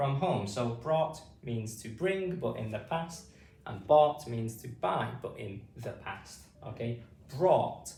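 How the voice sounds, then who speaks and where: A man's medium-pitched voice with a British accent, very slow, with lively intonation. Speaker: phonics teacher. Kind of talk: phonics lesson for adult learners. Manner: slow, clear.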